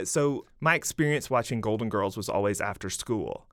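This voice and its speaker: At a moderate pace and medium pitch, a man with a Southern US accent speaks with ordinary pitch variation on a very clean recording with a silent background. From Mississippi, rural. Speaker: novelist and creative writing professor. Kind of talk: casual interview chat.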